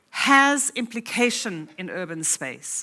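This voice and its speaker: On a very clean recording with a silent background, a woman with a South African accent speaks in a bright, sharp tone with very wide pitch swings. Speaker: academic conference speaker. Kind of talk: conference keynote lecture.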